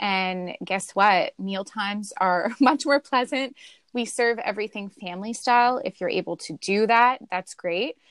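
On a very clean recording with a silent background and a dry, close sound with no echo, a woman in an unremarkable speaking voice talks at a moderate pace with hardly any pauses, her medium pitch showing ordinary pitch variation. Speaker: intuitive eating guest. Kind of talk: interview conversation.

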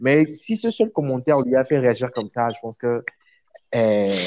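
A man talks at a moderate pace, his pitch medium and his tone dark and mellow. The sound is dry and close, with no echo. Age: 20s. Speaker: hotelier and web presenter. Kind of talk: casual chat.

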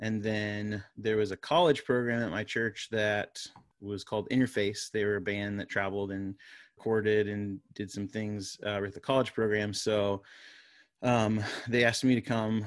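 Against a quiet background, a man with an American accent speaks at a moderate pace in a fairly low pitch, with a normal speaking voice. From Florida. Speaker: worship pastor and media company founder. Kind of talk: casual interview.

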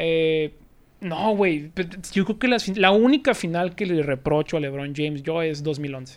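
With a high pitch and lively intonation, a man speaks at a fairly slow pace on a very clean recording with a silent background. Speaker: sports youtuber. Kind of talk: casual chat.

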